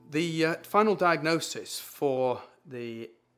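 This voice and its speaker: A man is speaking. He talks with a British accent. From UK. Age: 60s. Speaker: patient. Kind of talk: testimony.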